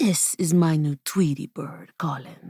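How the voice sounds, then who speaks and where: A woman's put-on character voice at a very deep, low pitch, fairly even intonation and moderate pace, in a dry, close sound with no echo. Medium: read story.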